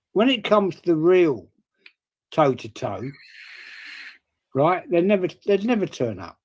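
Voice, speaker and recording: In a very clean recording with a silent background, a high-voiced man with a southern English accent speaks fairly slowly, with very wide pitch swings and long, frequent pauses. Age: 60s. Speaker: stream guest. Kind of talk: heated debate. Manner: animated.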